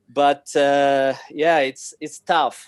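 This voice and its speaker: With a Spanish accent, a man speaks in a fairly high pitch and a monotone, flat intonation, the sound dry and close with no echo. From Spain. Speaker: sake importer and distributor. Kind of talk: casual chat. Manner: halting, many fillers.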